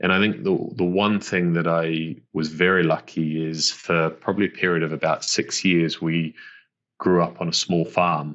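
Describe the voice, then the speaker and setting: With a New Zealand accent, a man speaks in a very deep, low voice. His delivery is monotone and flat at a moderate pace. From New Zealand, West Auckland. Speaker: business executive. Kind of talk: podcast interview. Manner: halting, repeats words.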